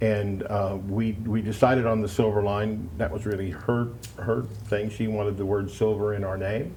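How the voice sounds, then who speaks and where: Somewhat breathy speech with fairly even intonation carries audible room echo. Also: man. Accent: American. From US Pacific Northwest, Seattle. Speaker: musician, singer-songwriter, former radio presenter. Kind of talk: casual interview. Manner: relaxed, many fillers.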